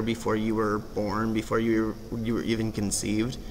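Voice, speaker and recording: A man's voice with audible room echo. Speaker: vlogger. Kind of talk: casual vlog monologue. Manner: hesitant, many fillers.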